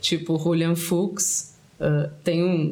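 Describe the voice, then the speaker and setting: A man's high-pitched voice with monotone, flat intonation, audible room echo and noticeable background noise. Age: 30s. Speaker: writer. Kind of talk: casual chat. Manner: hesitant.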